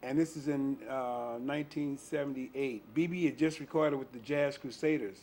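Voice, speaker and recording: With an American accent and an unremarkable speaking voice, a man talks at a moderate pace, his pitch fairly high and his intonation fairly even. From US South, Memphis, Tennessee. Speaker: blues bass player. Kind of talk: interview.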